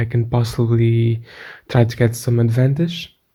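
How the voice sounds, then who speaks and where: A man's somewhat breathy, dark, mellow voice at a fairly slow pace with monotone, flat intonation. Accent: Portuguese. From Portugal. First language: Portuguese. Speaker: gaming youtuber. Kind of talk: gameplay commentary. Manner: halting, many repetitions.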